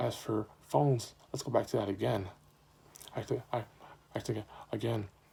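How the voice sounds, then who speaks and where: The voice belongs to a man and shows ordinary pitch variation. Vocal fry runs through it. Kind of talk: informative speech. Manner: stuttering.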